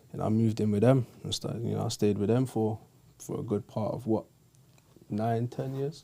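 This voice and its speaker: A man's dark, mellow tone in a London accent. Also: medium pitch for a man, fairly even intonation, moderate pace. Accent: London, multicultural London English. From north-west London. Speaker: youth football organiser. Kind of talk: casual interview.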